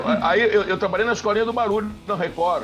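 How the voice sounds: Over music in the background, a man with a southern Brazilian accent speaks at a moderate pace. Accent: Gaúcho, southern Brazilian.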